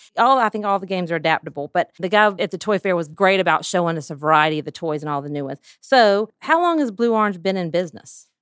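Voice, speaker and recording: In a Southern US accent, a woman talks very fast at a medium pitch, animated in tone with lively intonation. The sound is dry and close with no echo, and the recording is very clean over a silent background. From US South. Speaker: podcast host and pediatric therapist. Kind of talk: casual interview. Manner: animated, laughs often.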